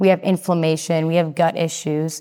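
Recorded very cleanly against a silent background, a woman with an American accent and a normal speaking voice talks at a moderate pace and a fairly low pitch. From Massachusetts. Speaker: health and fitness coach. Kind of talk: casual interview chat.

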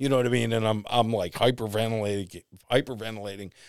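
Fairly quick and medium in pitch, a man speaks with an American accent in a very clean recording with a silent background. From US Northeast. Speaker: radio host. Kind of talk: casual chat.

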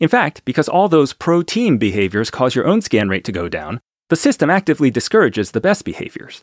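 On a very clean recording with a silent background and a dry, close sound, a man with a fairly high pitch and vocal fry talks very fast with very wide pitch swings. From Taiwan. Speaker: podcaster recounting warehouse work. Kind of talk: scripted narration.

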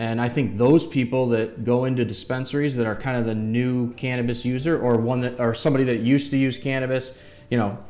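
With music in the background, a man talks at a fairly quick pace and medium pitch, his intonation fairly even. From US Midwest, Metro Detroit, Michigan. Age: 40s. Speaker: cannabis transport business owner. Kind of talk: casual podcast interview.

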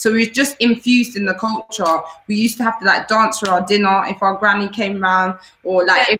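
Speaking at a fairly quick pace with a London accent, a woman keeps her medium-pitched voice fairly even in intonation. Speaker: dancer and singer. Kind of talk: interview.

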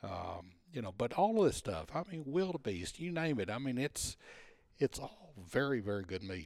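In a Texan accent, a man talks at a moderate pace and medium pitch, with very wide pitch swings. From Texas. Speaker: retired salesman and hunter. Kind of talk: casual interview, storytelling. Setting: at home in person.

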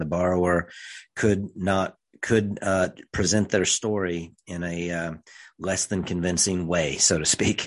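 With an American accent, a man speaks at a fairly slow pace with a very deep, low pitch and fairly even intonation. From rural central Missouri. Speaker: financial advisor and podcast host. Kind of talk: solo podcast monologue. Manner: hesitant, many fillers.

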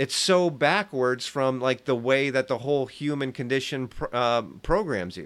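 Hardly pausing, a man with an unremarkable speaking voice talks at a fairly slow pace and medium pitch. His pitch variation is ordinary, and the recording is very clean with a silent background. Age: 40s. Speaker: delivery driver. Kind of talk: casual chat.

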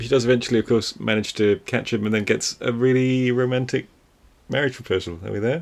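Using an unremarkable speaking voice, a man speaks at a medium pitch and a fairly quick pace. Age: 30s. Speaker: film podcast co-host. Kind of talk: casual chat.

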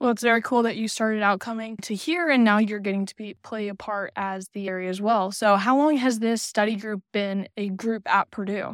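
In a very clean recording with a silent background, a woman with a plain, everyday voice and fairly high pitch talks at a fairly quick pace, her intonation fairly even and hardly any pauses between words. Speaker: student podcast co-host. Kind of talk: interview.

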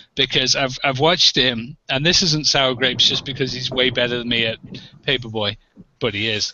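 A man with an English accent, medium pitch, moderate pace. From England. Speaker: arcade collector, panel regular. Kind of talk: casual chat. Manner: animated.

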